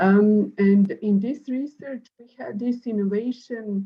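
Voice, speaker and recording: A woman speaks in a Serbian accent with a fairly high pitch. Her voice is somewhat breathy, with ordinary pitch variation. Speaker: professor. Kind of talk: panel discussion. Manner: halting.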